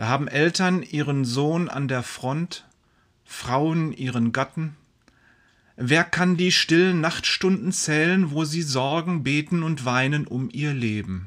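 Speaking at a very slow pace with long, frequent pauses, a man uses a solemn, dramatic tone, a fairly high pitch and lively intonation. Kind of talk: sermon read aloud. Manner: solemn, fervent, dramatic preacher's delivery with emphatic exclamations; earnest and formal.

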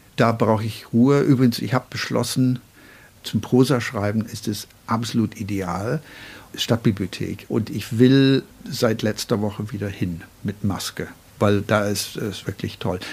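Delivery is fairly slow, with ordinary pitch variation and long, frequent pauses. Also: man. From Northern Ireland, Belfast. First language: English (speaking German). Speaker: poet and writer. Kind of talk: interview. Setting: at his home desk.

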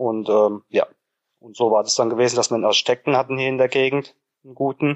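A man is speaking in a medium pitch. His pace is moderate. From Germany, Hesse near Frankfurt. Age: 30s. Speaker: tiler and home renovator. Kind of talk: interview.

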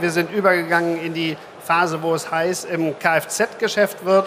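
The man's voice is high for a man and flat and monotone in intonation. Noticeable background noise runs under his speech. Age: 50s. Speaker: insurance executive. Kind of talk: live stage interview. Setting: conference stage with audience.

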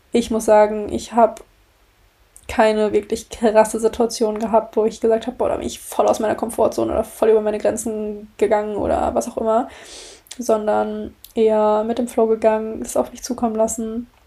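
Her voice is fairly high in pitch. The woman keeps to a moderate pace. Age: 20s. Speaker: podcast host. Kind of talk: casual monologue. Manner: animated.

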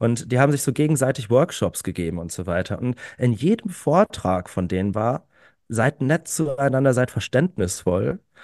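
A man's normal speaking voice at medium pitch, with lively intonation, a dry, close sound with no echo, and a quiet background. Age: 30s. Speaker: climate activist. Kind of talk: casual chat. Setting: online recording before live audience.

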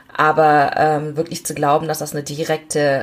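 A woman speaks with a very deep, low pitch. There is noticeable noise in the background. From Germany, Aachen. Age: 30s. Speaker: member of parliament. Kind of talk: interview. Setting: video call. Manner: hesitant fillers.

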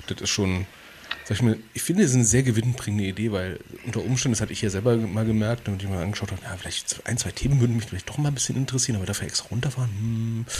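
A man at medium pitch talking at a very fast pace, with noticeable background noise. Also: ordinary pitch variation. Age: 30s. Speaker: podcast co-host, civil servant. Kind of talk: casual chat. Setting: livestream video call.

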